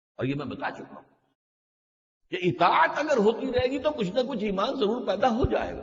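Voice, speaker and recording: A man speaks with an extremely high pitch. His loudness swings widely from moment to moment. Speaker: Islamic scholar giving a religious lecture. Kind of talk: religious sermon / lecture.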